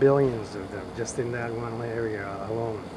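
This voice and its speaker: Over noticeable background noise and audible room echo, a man speaks at a fairly slow pace in a monotone, flat intonation. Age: 50s. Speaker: amateur video blogger filming paranormal phenomena. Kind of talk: monologue narration over video footage. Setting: outdoors, filming bushes and trees. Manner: halting, frequent fillers.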